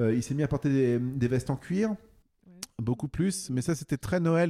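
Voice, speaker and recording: The sound is dry and close, with no echo, on a very clean recording with a silent background. A dark, mellow voice moves at a fairly slow pace with ordinary pitch variation. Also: man. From central France (Bourges). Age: 40s. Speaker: author and music journalist. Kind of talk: interview. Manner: halting, many fillers.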